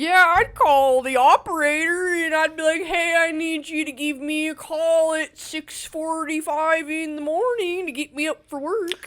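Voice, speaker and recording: A put-on character voice comes through at a high pitch. The pace is moderate, with hardly any pauses. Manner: matter-of-fact, reminiscing.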